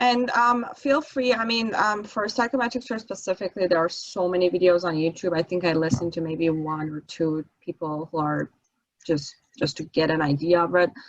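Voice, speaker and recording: With a non-native accent, a woman of fairly low pitch speaks at a moderate pace with lively intonation. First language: not English. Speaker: architect, guest speaker teaching exam prep. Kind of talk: online study session lecture. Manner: hesitant, many fillers. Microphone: voice too quiet.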